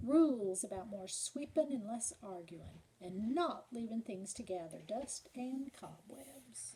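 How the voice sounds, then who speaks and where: A put-on character voice from a woman, fairly high-pitched and fairly slow, with hardly any pauses. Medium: read story.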